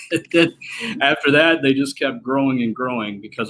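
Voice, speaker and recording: A man with a strong Southern US accent and fairly even intonation. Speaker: slot machine collector and repairer. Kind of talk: casual interview chat. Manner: hesitant, many fillers.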